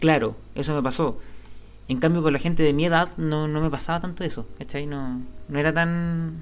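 Audible room echo surrounds a man with a fairly high pitch speaking at a moderate pace with fairly even intonation. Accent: Chilean. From Chile, Santiago (Vitacura). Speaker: podcaster. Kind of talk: casual chat.

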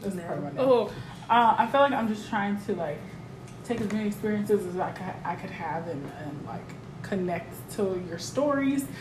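A woman's medium-pitched voice at a moderate pace, with lively intonation, big swings in loudness and noticeable background noise. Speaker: podcast guest. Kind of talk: casual chat.

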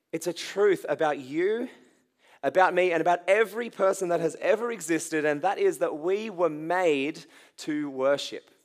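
A very clean recording with a silent background, ordinary pitch variation and a moderate pace. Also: man, high pitch for a man. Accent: Australian. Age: 20s. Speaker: youth pastor. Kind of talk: sermon.

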